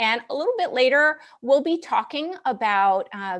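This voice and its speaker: A woman with an upstate New York accent speaks in a high voice that swings very widely in pitch. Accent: upstate New York American. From US Northeast (upstate New York). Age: 40s. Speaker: military band clarinetist. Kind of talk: live stream concert introduction. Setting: at home, dining/living room.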